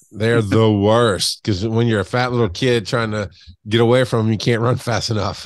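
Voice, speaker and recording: A man speaks at medium pitch with an American accent. His intonation is fairly even and his pace moderate. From US South, south Georgia. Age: 40s. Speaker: podcast guest sharing weight loss story. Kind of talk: casual interview chat. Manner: loud, big personality.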